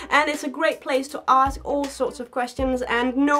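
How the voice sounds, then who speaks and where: With music in the background, a woman speaks at a moderate pace. Her voice is high-pitched, with ordinary pitch variation. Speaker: snake keeper. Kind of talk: casual talk to camera.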